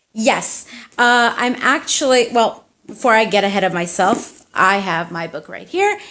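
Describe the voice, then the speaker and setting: With an American accent, a woman in an ordinary speaking voice talks at a fairly slow pace, her pitch fairly high and her loudness swinging widely. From United States (Turkish family). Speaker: indie fantasy author and tattoo artist. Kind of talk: casual interview. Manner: casual, chatty.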